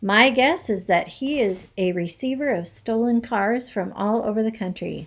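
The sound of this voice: What comes through is an unforced reading voice.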